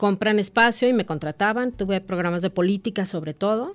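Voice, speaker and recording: A woman speaks in a plain, everyday voice at a moderate pace. Her pitch is medium, with ordinary pitch variation. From Guadalajara, Mexico. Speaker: radio news anchor and journalist. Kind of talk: casual radio interview.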